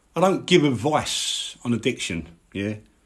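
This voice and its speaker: A man with a Cockney accent at a fairly slow pace, his pitch swinging very widely. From London, East End (Mile End). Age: 50s. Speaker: live streamer on addiction. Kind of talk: live stream monologue. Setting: live social media stream. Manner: animated.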